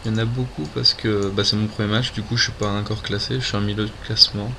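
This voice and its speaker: Noticeable background noise behind a man with a fairly low pitch. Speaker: gaming video creator. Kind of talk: gameplay commentary. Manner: hesitant, many fillers. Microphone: poor sound, no proper mic.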